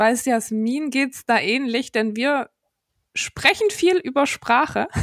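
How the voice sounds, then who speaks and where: Recorded dry and close with no echo and a silent, very clean background, a woman with a high voice speaks very slowly with lively intonation. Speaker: podcast co-host. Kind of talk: casual interview chat.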